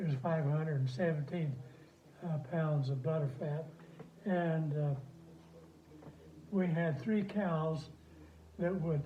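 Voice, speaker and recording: Speaking with an American accent, a man has a dark, mellow tone at a fairly high pitch. He goes at a fairly slow pace with fairly even intonation. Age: 80s+. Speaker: retired dairy farmer and rancher. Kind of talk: interview answer. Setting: phone recording.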